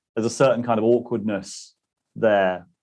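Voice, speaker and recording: Against a quiet background, a man of medium pitch speaks with a British accent and fairly even intonation. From British Isles. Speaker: interviewer, channel host. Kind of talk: interview conversation.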